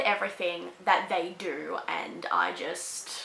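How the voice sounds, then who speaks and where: A woman speaks in an animated tone with an Australian accent. Noticeable background noise runs underneath. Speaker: book reviewer. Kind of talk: casual review.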